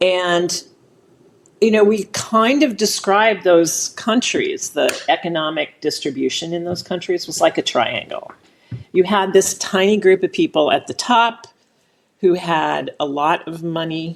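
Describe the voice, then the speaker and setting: A woman with an ordinary speaking voice and an American accent talks at a fairly slow pace. Her pitch is medium, with ordinary variation. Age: 60s. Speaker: impact investing nonprofit co-founder. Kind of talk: podcast interview.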